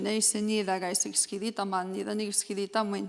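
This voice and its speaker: Over noticeable background noise, a woman speaks at a moderate pace in a medium pitch. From Treaty Six territory, Canada (First Nations). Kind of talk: conference presentation. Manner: halting, many fillers.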